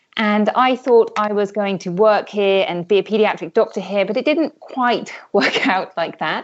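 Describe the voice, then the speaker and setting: In a British accent, a woman talks at a fairly slow pace. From UK. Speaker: health coach, former pediatric doctor. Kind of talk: interview.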